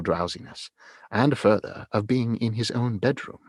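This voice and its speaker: Recorded dry and close with no echo over a quiet background, a man in a normal speaking voice talks at a moderate pace with a medium pitch. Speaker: audiobook narrator. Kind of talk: audiobook reading of a classic novel, read aloud.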